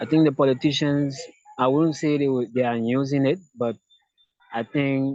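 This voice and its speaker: Pausing long and often, a man talks at a moderate pace with a fairly high pitch and fairly even intonation. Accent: Liberian. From Liberia. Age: 20s. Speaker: activist. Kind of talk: interview.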